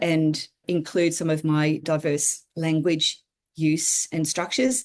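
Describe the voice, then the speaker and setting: A woman speaks with an Australian accent at a moderate pace. Her pitch is fairly low. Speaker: regenerative systems designer and writer. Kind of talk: interview conversation.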